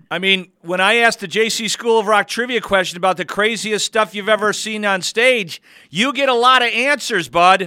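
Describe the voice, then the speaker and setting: A man projects a raised voice with a bright, sharp tone and high pitch, at a moderate pace with ordinary pitch variation and hardly any pauses. The recording is very clean with a silent background. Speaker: radio host. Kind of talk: radio interview. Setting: studio.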